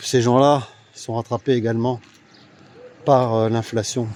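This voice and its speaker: Fairly slow, monotone speech from a man at a medium pitch, flat in intonation, with noticeable background noise. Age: 60s. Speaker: political commentator. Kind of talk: casual vlog monologue. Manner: hesitant, many fillers.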